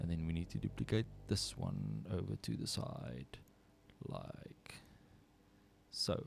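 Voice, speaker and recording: Speaking at a fairly slow pace in a South African accent, the speaker leaves long, frequent pauses. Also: man. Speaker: 3D artist streamer. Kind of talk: live tutorial stream. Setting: livestream. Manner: casual, thinking aloud.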